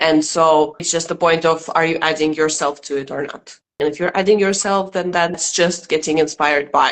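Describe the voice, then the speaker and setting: A woman with a Russian accent, fairly low in pitch, in a flat monotone at a moderate pace with hardly any pauses. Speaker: stand-up comedian. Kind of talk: interview.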